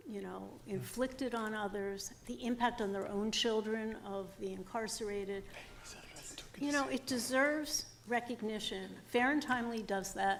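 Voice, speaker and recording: Noticeable background noise sits behind a woman speaking at a moderate pace. Her pitch is fairly high, with ordinary pitch variation. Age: 60s. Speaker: former parole board commissioner. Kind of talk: testimony. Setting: public hearing.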